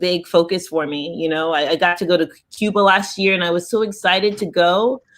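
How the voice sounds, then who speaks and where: A woman with an American accent has a normal speaking voice, pitched fairly low. She talks at a fairly quick pace with fairly even intonation. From Nigeria and the US. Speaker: head of a diaspora organization. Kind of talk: interview conversation. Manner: casual, filler-heavy.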